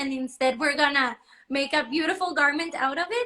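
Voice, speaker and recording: Speaking in a raised, projected voice with a Spanish accent, a woman uses ordinary pitch variation and a bright, sharp tone. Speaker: fashion designer. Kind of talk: live interview. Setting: livestream.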